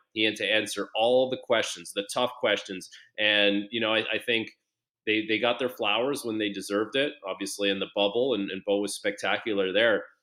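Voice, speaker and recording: A man's fairly low, unremarkable speaking voice at a moderate pace, with fairly even intonation. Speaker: former hockey player and TSN analyst. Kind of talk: casual interview.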